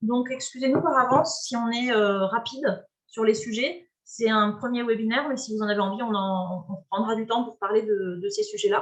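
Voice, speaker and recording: The voice moves with ordinary pitch variation and hardly any pauses. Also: woman, fairly high pitch for a woman. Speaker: webinar presenter, climate organization member. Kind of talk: online webinar introduction. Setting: video call. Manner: fast; hesitant, many fillers.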